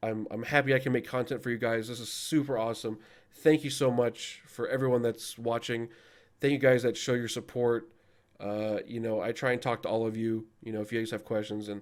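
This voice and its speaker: A man at a medium pitch and fairly quick pace, with monotone, flat intonation, on a very clean recording with a silent background. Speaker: gaming YouTuber and raid leader. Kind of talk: casual video outro talk to viewers. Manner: fast; hesitant, many fillers.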